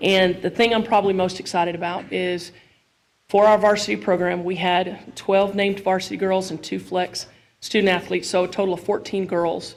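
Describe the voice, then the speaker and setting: Her pitch is medium for a woman, and her intonation is monotone and flat. She keeps to a fairly quick pace. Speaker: high school softball coach. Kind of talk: award presentation speech. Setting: school board meeting with microphone. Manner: loud.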